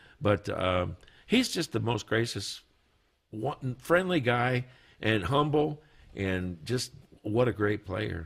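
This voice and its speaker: In a very clean recording with a silent background, the voice is somewhat breathy and lively in intonation, moving at a very slow pace with long, frequent pauses. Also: man, medium pitch for a man. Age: 60s. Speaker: guitarist, studio guest. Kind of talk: casual chat. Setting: studio.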